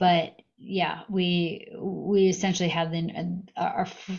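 A woman with an American accent speaks at a medium pitch. Her voice is somewhat breathy, with fairly even intonation. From US Northeast, Massachusetts. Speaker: startup founder. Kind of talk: interview.

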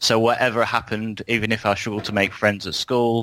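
A man speaks in a bright, sharp tone at a fairly low pitch, his intonation monotone and flat. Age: 30s. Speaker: podcast guest, film discussion. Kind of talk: casual chat.

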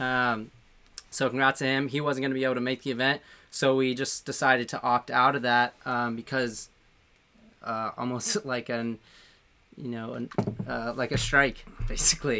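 The man's tone is bright and sharp, his intonation flat and monotone. He keeps a moderate pace with long, frequent pauses. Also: medium pitch for a man. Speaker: podcast co-host, paintball team member. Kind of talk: casual live chat show.

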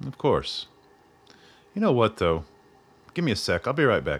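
Putting on a character voice, a man speaks at a moderate pace with a fairly low pitch, a slightly husky edge, and very wide pitch swings.

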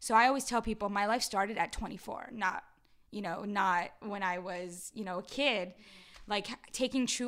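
An unremarkable speaking voice in an American accent, with ordinary pitch variation, on a very clean recording with a silent background. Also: woman. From Los Angeles, San Fernando Valley (Pacoima). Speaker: community activist and mentor. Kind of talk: casual interview chat.

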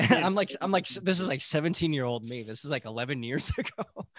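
A man's unremarkable speaking voice, lively in intonation, at a moderate pace. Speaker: podcast co-host. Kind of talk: casual chat.

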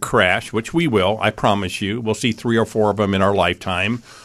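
Over a very clean recording with a silent background, a man speaks very fast in a fairly low voice. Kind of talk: infomercial-style sales pitch. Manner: earnest, reassuring, emphatic.

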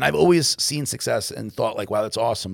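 A man with vocal fry and lively intonation at a very fast pace, on a very clean recording with a silent background. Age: 40s. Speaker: podcast co-host, entrepreneur. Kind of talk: casual chat.

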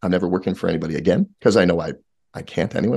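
A man's very deep, low voice with an American accent at a very fast pace over a quiet background. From New Jersey. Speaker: entrepreneur. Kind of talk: interview. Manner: animated.

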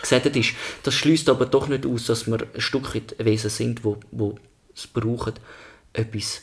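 A man speaks at a fairly slow pace and medium pitch with fairly even intonation and vocal fry, leaving long, frequent pauses. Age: 30s. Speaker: podcast co-host. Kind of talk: casual chat. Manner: halting.

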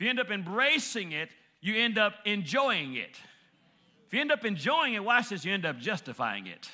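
An animated, raised and projected voice with a bright, sharp tone swings very widely in pitch on a very clean recording with a silent background. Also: man, high pitch for a man, moderate pace. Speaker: preacher. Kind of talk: sermon. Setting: church. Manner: animated, call-and-response preaching that seeks amens from the congregation; impassioned, building intensity and rhythmic emphasis, with repeated phrases.

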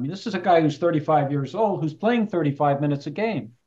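A man with an American accent speaks at a moderate pace in an ordinary speaking voice, his fairly high pitch showing ordinary pitch variation. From US West Coast, Palo Alto. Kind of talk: casual chat. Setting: video call.

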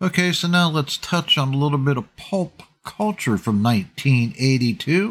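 A man speaks fairly slowly in a somewhat breathy voice. His pitch is fairly high. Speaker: radio host. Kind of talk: radio DJ patter, upbeat classic-rock show banter with song recaps and sign-off. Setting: radio studio broadcast. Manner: animated, chatty, enthusiastic.

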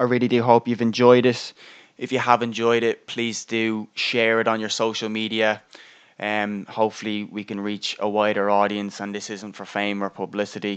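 A man with an Irish accent talks at a fairly low pitch and a moderate pace. His intonation is monotone and flat, with a quiet background. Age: 20s. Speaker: podcast host. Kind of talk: solo monologue on mental health.

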